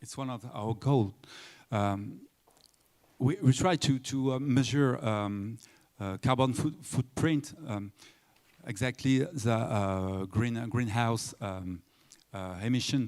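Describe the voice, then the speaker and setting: In a French accent, a man at medium pitch talks at a very slow pace with ordinary pitch variation, long, frequent pauses, and big swings in loudness. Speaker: destination tourism official. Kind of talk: panel discussion. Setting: conference stage with audience. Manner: halting, many fillers.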